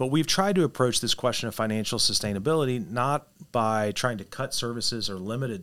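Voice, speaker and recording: A man speaks in an American accent at a fairly quick pace, an ordinary speaking voice. His pitch is medium, with ordinary pitch variation. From Missouri, Poplar Bluff. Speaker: government agency director, former legislator. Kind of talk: interview.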